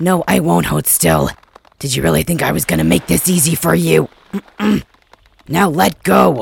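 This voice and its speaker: Doing a put-on character voice, a man speaks raspy and very deep at a moderate pace, with long, frequent pauses. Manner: angry, defiant.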